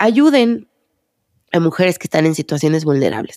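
A woman speaks with a Mexican accent and lively intonation. The recording is very clean with a silent background, and the sound is dry and close with no echo. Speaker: psychologist and podcast host. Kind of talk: solo podcast monologue.

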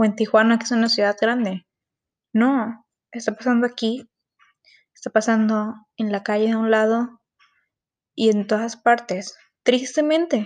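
A woman talks at a fairly high pitch and a fairly slow pace, with long, frequent pauses. Her intonation stays fairly even. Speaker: student podcaster. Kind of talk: personal monologue podcast.

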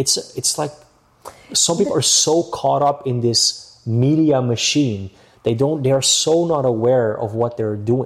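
Noticeable background noise sits behind a man's voice. He talks at a fairly slow pace and medium pitch with ordinary pitch variation. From Amsterdam, Netherlands. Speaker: real estate agent. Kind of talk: casual interview.

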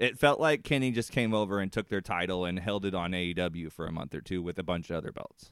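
Speaking very fast with hardly any pauses, a man with an American accent uses a very deep, low pitch with ordinary pitch variation. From Indiana, US Midwest. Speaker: wrestling podcast host. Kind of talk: casual banter, rant about wrestling. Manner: animated, ranting, profane.

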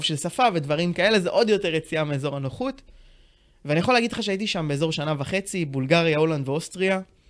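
On a very clean recording with a silent background, a man talks at a fairly quick pace with a fairly high pitch in an unremarkable speaking voice. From Israel, Tiberias. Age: 20s. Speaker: financial planner. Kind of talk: podcast interview.

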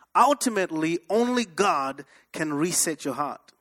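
A man with an African accent and a bright, sharp tone, making very wide pitch swings in a dry, close sound with no echo. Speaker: pastor. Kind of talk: sermon. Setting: church with congregation. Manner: animated.

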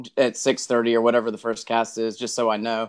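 The recording is very clean, with a silent background, and features a man with a Texan accent. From Texas. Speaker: tournament kayak angler. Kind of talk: podcast interview.

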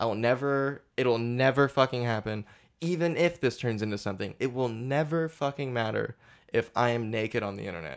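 On a very clean recording with a silent background, a man talks at a fairly quick pace in an unremarkable speaking voice, medium in pitch with ordinary variation. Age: 20s. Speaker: podcast host. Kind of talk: casual chat.

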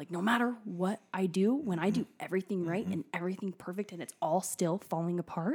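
An unremarkable speaking voice talks at a fairly quick pace with an American accent. The recording is very clean, with a silent background. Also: woman. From Washington state, US. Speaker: paramedic, first responder. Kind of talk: casual interview, personal testimony.

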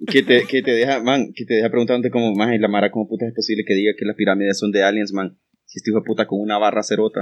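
A man with a fairly low pitch is speaking. He goes at a very fast pace. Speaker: podcast co-host. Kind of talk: casual chat. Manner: animated.

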